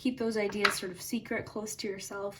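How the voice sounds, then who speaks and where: With noticeable background noise, a woman speaks very fast in a fairly high pitch. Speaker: tarot reader. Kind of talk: tarot reading for online audience. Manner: calm, gentle, conversational.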